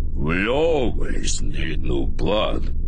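Over loud background noise, a man performs in a put-on character voice. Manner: low, ominous.

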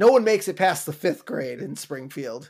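On a very clean recording with a silent background, a man uses an ordinary speaking voice at a moderate pace with lively intonation. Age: 30s. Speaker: podcast host. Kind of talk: casual chat.

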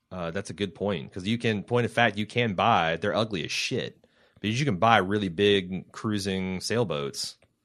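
Fairly low in pitch, a man talks at a moderate pace with ordinary pitch variation. The background is quiet. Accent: slight Midwestern. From US Midwest. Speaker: podcast host. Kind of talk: casual banter, co-hosted podcast.

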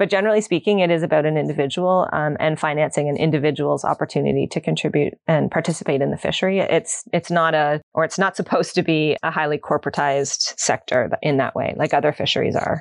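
With a Canadian accent, a woman speaks very fast with hardly any pauses, her very deep, low voice carrying vocal fry at very even loudness in a dry, close sound with no echo. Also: ordinary pitch variation. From Ontario, Canada. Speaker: associate professor, ocean governance researcher. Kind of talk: interview.

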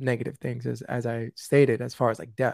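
A man speaks with a New York accent at medium pitch. The recording is very clean, with a silent background and dry, close sound with no echo. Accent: New York (Bronx). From US, South Bronx, New York City. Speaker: suicide prevention speaker and podcast host. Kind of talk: interview, personal testimony.

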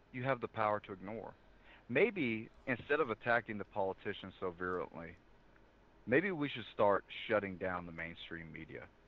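A man with a Southern US accent speaks at a moderate pace, his fairly low voice carrying lively intonation. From US South. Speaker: federal law enforcement officer. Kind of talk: interview analysis. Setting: remote call. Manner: calm.

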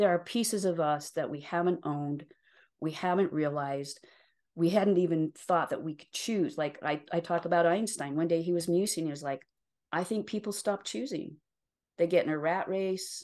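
A woman with an American accent speaks at a moderate pace in an unremarkable speaking voice, with ordinary pitch variation and a quiet background. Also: fairly low pitch for a woman. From rural Utah, US. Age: 60s. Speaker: life and career coach. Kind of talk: interview conversation.

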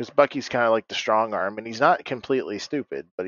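A man speaks at a very fast pace. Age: 20s. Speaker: podcast co-host. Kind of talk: casual chat.

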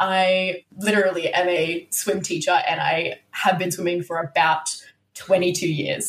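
Using a plain, everyday voice, a woman speaks at a medium pitch and a fairly slow pace. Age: 20s. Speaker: guest, podcaster.

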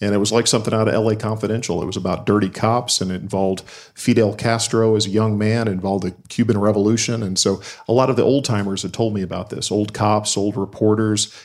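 In a very clean recording with a silent background, a man speaks at a very fast pace with monotone, flat intonation. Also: fairly low pitch for a man. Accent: slight Southern US. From Alabama. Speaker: crime novelist. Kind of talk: casual chat. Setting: bookstore event with audience.

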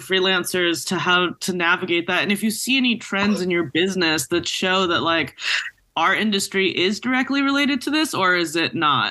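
A woman speaks at a fairly quick pace with a medium pitch and very wide pitch swings. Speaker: podcast co-host, cinematographer. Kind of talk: podcast intro and outro.

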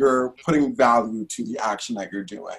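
A man speaks in an American accent at a medium pitch. His pitch varies in an ordinary way. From Brooklyn, New York. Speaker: professional dancer and drag queen. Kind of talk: casual chat. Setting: video call.

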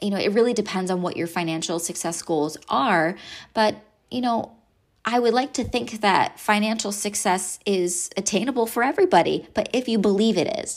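Speaking at a moderate pace, a woman with a medium pitch and ordinary pitch variation is heard on a very clean recording with a silent background. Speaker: hairstylist business coach and podcast host. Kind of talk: solo podcast monologue, coaching talk.

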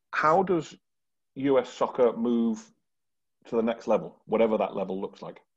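A man speaks with a British accent and lively intonation. He leaves long pauses, and they come often. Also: medium pitch for a man, moderate pace. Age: 40s. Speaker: podcast host. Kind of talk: casual chat.

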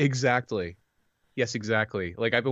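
A plain, everyday voice from a man, at a fairly quick pace with ordinary pitch variation. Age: 30s. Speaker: podcast guest sharing weight-loss journey. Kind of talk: casual chat.

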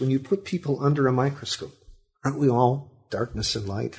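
A somewhat breathy man with an American accent against a quiet background. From Sacramento, California. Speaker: history professor and author. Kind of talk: interview.

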